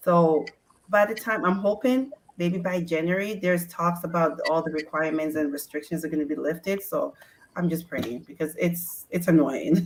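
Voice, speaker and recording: A woman with a Ghanaian accent speaks at a moderate pace in a fairly low pitch, with ordinary pitch variation. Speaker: sports mom community founder. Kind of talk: casual chat.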